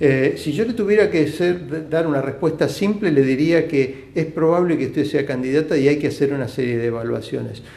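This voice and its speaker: A man's fairly high-pitched voice, dark and mellow in tone, with hardly any pauses. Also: ordinary pitch variation, moderate pace. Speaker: bariatric surgeon. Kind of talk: live Q&A stream. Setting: live video stream from clinic.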